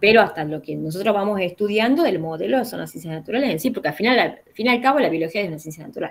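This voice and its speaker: Talking very fast with hardly any pauses, a woman at a medium pitch uses lively intonation and big swings in loudness. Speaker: philosophy teacher. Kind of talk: online class consultation. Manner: halting.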